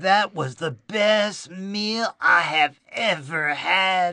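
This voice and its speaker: Someone does a put-on character voice at a middle pitch and a very slow pace. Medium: read story. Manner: eager, exuberant.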